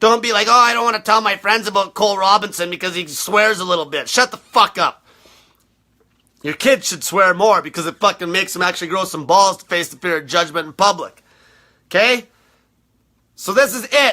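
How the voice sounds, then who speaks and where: Speaking at a fairly quick pace, a man with a high-pitched voice uses a raised, projected delivery with a bright, sharp tone, ordinary pitch variation, and big swings in loudness. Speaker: diet coach. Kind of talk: rant. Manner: aggressive; animated.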